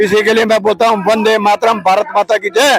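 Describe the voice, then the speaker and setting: The sound is dry and close with no echo as a man speaks in a high pitch. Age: 70s. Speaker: retired soldier, protester. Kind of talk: protest speech to reporter. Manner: impassioned.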